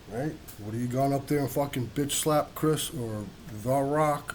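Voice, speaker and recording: Audible room echo surrounds a man at medium pitch who speaks with ordinary pitch variation. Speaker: video blogger. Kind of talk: casual rant monologue. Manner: slow; animated.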